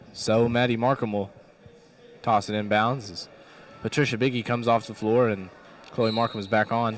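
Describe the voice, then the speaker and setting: At a moderate pace, a man speaks at a medium pitch in a monotone, flat intonation, with long, frequent pauses. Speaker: play-by-play announcer. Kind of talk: live commentary.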